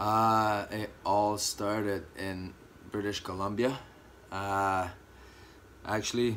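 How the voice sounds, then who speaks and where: Very slow, flat, monotone speech in a French Canadian accent, broken by long, frequent pauses, with audible room echo. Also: man, fairly low pitch for a man. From Quebec, Canada. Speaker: former college hockey player. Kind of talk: interview. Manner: hesitant, many fillers.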